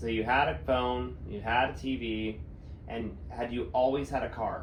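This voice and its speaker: A man with vocal fry talks at a fairly slow pace and medium pitch, his intonation lively. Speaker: interviewer, great-grandchild of the interviewee. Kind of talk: casual interview questions.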